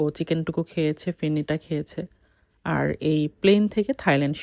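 Recorded very cleanly against a silent background with a dry, close sound and no echo, a woman with a fairly low pitch talks in an ordinary speaking voice. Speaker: travel vlogger, mother. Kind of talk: travel vlog narration.

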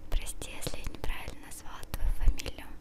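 A woman is speaking. Loud background noise surrounds her voice. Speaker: video blogger. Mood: relaxed, a bit flustered. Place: home room. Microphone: handheld.

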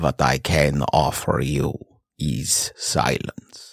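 A man with a very deep, low pitch at a very slow pace. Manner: calm, earnest.

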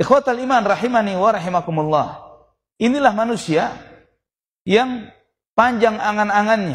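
A high-pitched man at a moderate pace, with ordinary pitch variation and long, frequent pauses. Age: 40s. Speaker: Islamic preacher. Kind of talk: sermon. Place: hall. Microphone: podium.

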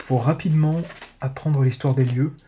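Against light background noise, a man talks at a fairly slow pace with a fairly high pitch and fairly even intonation. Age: 30s. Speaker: urban explorer YouTuber. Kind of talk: vlog narration while exploring. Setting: outdoors and abandoned house. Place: home room. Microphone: phone near.

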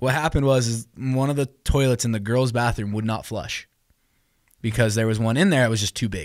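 On a very clean recording with a silent background, a man speaks at medium pitch in an animated tone, at a fairly quick pace with ordinary pitch variation. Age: 20s. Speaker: student podcast co-host. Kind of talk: casual chat.

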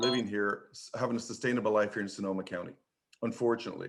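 A man with an Irish accent. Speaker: public commenter, trade union advocate. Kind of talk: public comment at board meeting.

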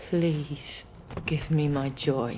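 A put-on character voice at a very slow pace, slightly mellow in tone, with ordinary pitch variation. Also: woman, low pitch for a woman.

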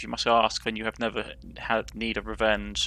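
Over clear background noise, a man cackles in a put-on character voice at a moderate pace. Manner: cackling, sinister.

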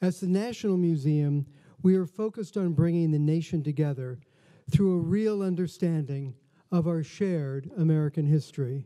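Dark, mellow male tone over a quiet background. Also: ordinary pitch variation, moderate pace. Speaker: museum host. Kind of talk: formal welcome speech. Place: hall. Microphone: podium.

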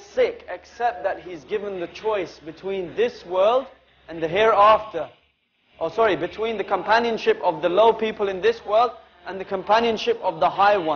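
A man speaks at a moderate pace with fairly even intonation and a high pitch for a man. Light background noise sits behind him. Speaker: religious lecturer. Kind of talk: sermon. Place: classroom. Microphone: lapel.

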